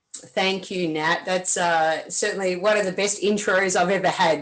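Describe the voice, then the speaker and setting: Through noticeable background noise, a woman with an Australian accent sounds energetic, using ordinary pitch variation. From Melbourne, Australia. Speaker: tennis coach and presenter. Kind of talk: webinar presentation. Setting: video call from a hotel room.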